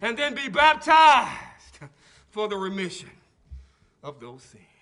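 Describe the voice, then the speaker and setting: A man projects a raised voice at a fairly slow pace. His tone is animated, with very wide pitch swings. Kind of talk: sermon. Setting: church. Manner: animated, call-and-response preaching, urgent and exhortative.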